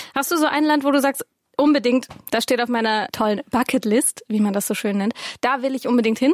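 A woman with a slight Swabian accent speaks at a fairly quick pace in a high voice with ordinary pitch variation. The sound is dry and close, with no echo. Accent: little Swabian audible. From Swabia, Stuttgart. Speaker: podcast co-host. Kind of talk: casual chat.

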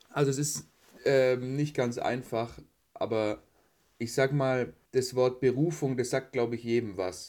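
A man's plain, everyday voice at medium pitch, with ordinary pitch variation and a fairly slow pace. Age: 20s. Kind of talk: casual interview.

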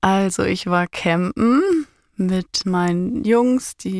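Recorded dry and close with no echo, a woman speaks at a medium pitch. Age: 20s. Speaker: interviewee telling personal story. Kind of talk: emotional personal interview. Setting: podcast studio. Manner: animated.

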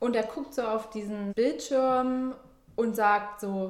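A woman speaks at a very slow pace with a fairly high pitch. Her pitch varies in an ordinary way. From southern Germany. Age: 30s. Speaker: interviewee sharing personal health story. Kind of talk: personal testimony in casual interview.

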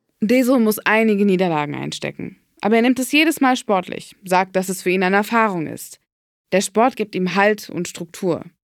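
A woman speaks at a medium pitch with ordinary pitch variation in a normal speaking voice. The sound is dry and close with no echo, on a very clean recording with a silent background. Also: moderate pace. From Berlin. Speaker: podcast host, narrator. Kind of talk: scripted narration.

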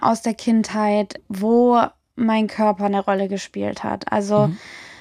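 A woman with an unremarkable speaking voice and a fairly high pitch talks at a fairly slow pace with fairly even intonation, the sound dry and close with no echo. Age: 20s. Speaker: music journalist and DJ. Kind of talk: interview, personal testimony. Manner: casual, colloquial.

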